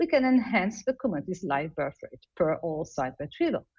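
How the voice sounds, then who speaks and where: A woman talks with an Italian accent and some vocal fry. Her pace is moderate, and the background is quiet. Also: dry, close sound with no echo. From Italy. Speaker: embryologist. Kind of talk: lecture. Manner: halting.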